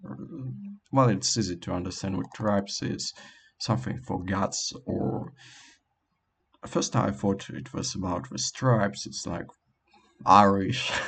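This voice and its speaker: A man with a non-native accent, fairly low in pitch and fairly slow, with very wide pitch swings, big swings in loudness, and long, frequent pauses. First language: not English. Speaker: language learner vlogger. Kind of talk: casual monologue. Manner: halting, many fillers.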